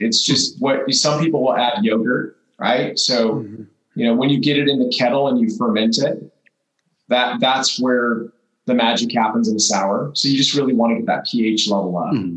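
A man talks at a moderate pace with medium pitch and ordinary pitch variation. His loudness stays very even in an unremarkable speaking voice. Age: 40s. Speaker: brewery owner. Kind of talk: casual chat.

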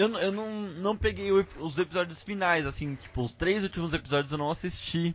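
A man speaks with lively intonation. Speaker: podcast host. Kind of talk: casual chat.

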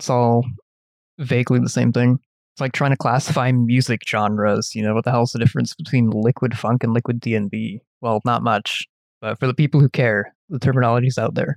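Speaking in an ordinary speaking voice with a Canadian accent, a man of medium pitch talks at a fairly quick pace with fairly even intonation, in a dry, close sound with no echo. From Canada. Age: 20s. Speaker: computer engineering student. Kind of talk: casual chat.

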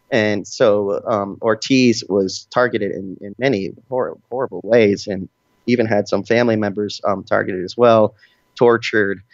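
A man speaks at a moderate pace in a normal speaking voice, his fairly low pitch carried by fairly even intonation. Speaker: international journalist and researcher. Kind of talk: interview.

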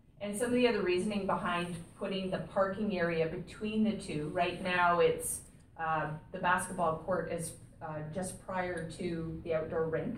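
A woman with a fairly low voice talks at a moderate pace with fairly even intonation over noticeable background noise. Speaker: town administrator. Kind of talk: formal meeting.

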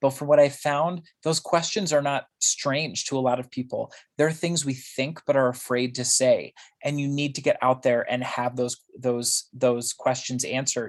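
Delivered at a moderate pace, an unremarkable speaking voice keeps fairly even intonation. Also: man, fairly high pitch for a man. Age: 30s. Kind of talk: interview. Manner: casual, frequent laughter.

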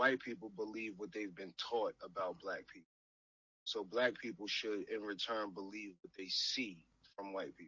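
Here a man speaks at a fairly low pitch and a moderate pace. His intonation is fairly even while his loudness swings a lot. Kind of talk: casual discussion.

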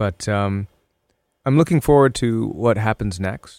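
With lively intonation, a man talks in a dry, close sound with no echo. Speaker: radio host and musician. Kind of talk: recorded anniversary greeting.

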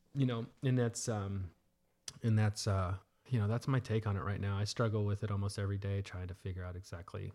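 A man with an American accent speaks at a fairly low pitch in a monotone, flat intonation, somewhat breathy, on a very clean recording with a silent background. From Texas (Dallas). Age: 40s. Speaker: salon owner and entrepreneur. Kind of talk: casual chat. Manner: hesitant, many fillers.

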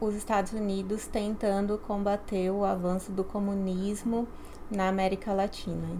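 Room echo can be heard around the speaker. She is a woman with a medium-pitched voice. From Brazil, São Paulo. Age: 30s. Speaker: graduate student. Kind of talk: interview.

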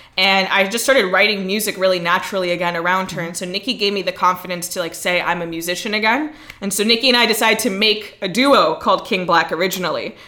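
Over noticeable background noise, a woman talks at a very fast pace with hardly any pauses and ordinary pitch variation. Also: medium pitch for a woman. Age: young. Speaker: performance poet and musician. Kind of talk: casual chat. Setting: studio.

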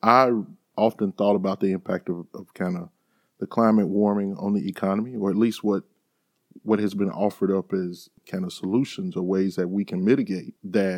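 Speaking with a Mississippi accent, a man uses monotone, flat intonation at a fairly low pitch, the sound dry and close with no echo. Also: moderate pace. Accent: US Southern (Mississippi). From Mississippi Delta, Sunflower County. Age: 40s. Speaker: podcast host. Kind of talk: interview; scripted introduction.

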